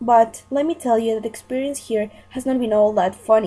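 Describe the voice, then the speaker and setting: A woman's fairly high voice, dark and mellow in tone, with ordinary pitch variation. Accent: Spanish. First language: Spanish. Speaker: language student. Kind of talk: scripted role-play monologue.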